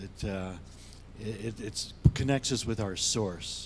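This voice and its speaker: Over audible room echo, a man in an American accent speaks at a fairly slow pace with fairly even intonation. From US, Denver, Colorado. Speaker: psychologist and meditation teacher. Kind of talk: panel discussion. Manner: calm.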